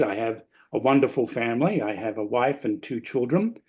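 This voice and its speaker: A man with an Australian accent at a moderate pace over a quiet background. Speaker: lecturer. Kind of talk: webinar talk. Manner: conversational.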